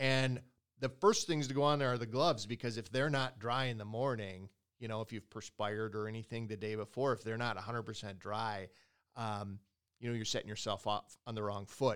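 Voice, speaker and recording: This is an unremarkable speaking voice at a fairly quick pace with fairly even intonation. The recording is very clean, with a silent background. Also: man, medium pitch for a man. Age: 50s. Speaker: ice fishing podcast host. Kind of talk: casual podcast chat. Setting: company headquarters recording.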